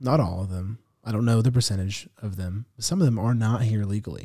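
A man with an American accent speaks at a medium pitch. His voice is somewhat breathy and his pace fairly quick. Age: 20s. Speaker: minister. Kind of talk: interview podcast conversation.

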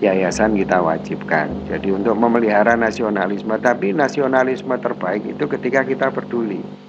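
Noticeable background noise runs under a man's voice. He speaks fairly low-pitched at a fairly quick pace. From Indonesia, Malang (East Java). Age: 40s. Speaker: businessman and social activist. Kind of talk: interview conversation.

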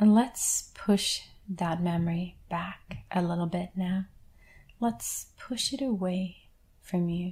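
Very slow and somewhat breathy, the voice carries a gentle, calm tone that is dark and mellow, with ordinary pitch variation. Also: woman, medium pitch for a woman. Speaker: guided meditation leader. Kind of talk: guided meditation. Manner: slow, calm, soothing, with long pauses; gentle, reassuring, instructive.

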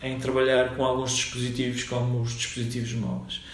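A man's medium-pitched voice with audible room echo and noticeable background noise. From Madeira, Portugal (Funchal). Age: 40s. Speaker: software company founder. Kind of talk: interview. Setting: at his company office. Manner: halting, many repetitions and fillers.

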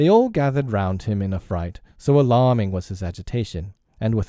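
Heard against a quiet background, this is a natural reading voice.

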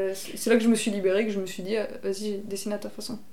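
A woman with a fairly high pitch speaks at a moderate pace in a monotone, flat intonation, with audible room echo. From Bordeaux, southwest France. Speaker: illustrator. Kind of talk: casual interview. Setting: at her home.

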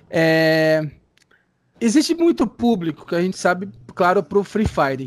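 A man speaks at a high pitch and moderate pace in a dry, close sound with no echo. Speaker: radio host. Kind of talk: interview. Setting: Skype call.

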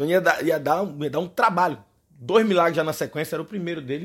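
A man speaks in an animated tone at a fairly quick pace. The recording is very clean, with a silent background. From Brazil, Recife. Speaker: podcast host. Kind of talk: casual monologue. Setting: home recording in bedroom.

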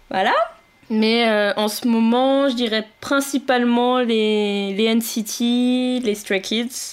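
Speaking at a very slow pace, a woman uses a fairly high pitch, very even loudness and a monotone, flat intonation. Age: 20s. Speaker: podcast co-host, computer engineer. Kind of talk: casual chat.

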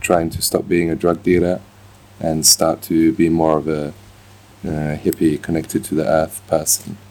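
Using a very deep, low pitch, a man speaks at a moderate pace with fairly even intonation. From Scotland and England, army childhood. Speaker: chef. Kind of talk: casual interview. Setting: outdoors.

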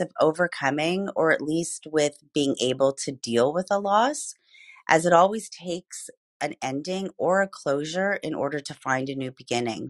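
A woman speaks at a moderate pace with fairly low pitch and lively intonation, her voice dry and close with no echo over a quiet background. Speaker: midlife transition coach, host. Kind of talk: presentation. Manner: passionate.

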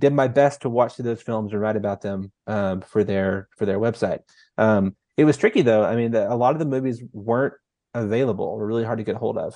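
Against a quiet background, a man with an American accent speaks at a fairly quick pace in a dark, mellow tone with fairly even intonation. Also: medium pitch for a man. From North Texas, small rural town. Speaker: author and film writer. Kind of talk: casual interview chat. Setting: video call.

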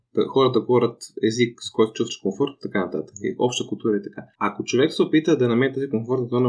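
Against a quiet background, a man speaks at a medium pitch and a fairly quick pace. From Bulgaria. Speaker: podcast host. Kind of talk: casual discussion. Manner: fast.

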